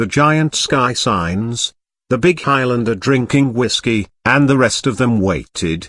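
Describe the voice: Against a quiet background, the clip offers plain reading aloud.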